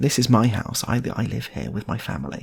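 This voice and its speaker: Using a put-on character voice, a man speaks in a sing-song way. His pitch is medium and his pace fairly quick. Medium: read story. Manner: peculiar sing-song way of talking.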